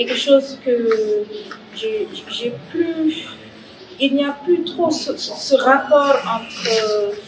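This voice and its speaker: Noticeable background noise surrounds a woman speaking at a high pitch and a very slow pace. Her intonation is lively, with big swings in loudness. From Senegal. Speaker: graffiti artist and spoken word artist. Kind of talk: interview answer. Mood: calm, reflective.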